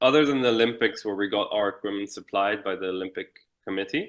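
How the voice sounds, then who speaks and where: The voice speaks with an Irish accent, a bright, sharp tone, and ordinary pitch variation. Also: man. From Israel. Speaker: Olympic windsurfer. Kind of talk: interview.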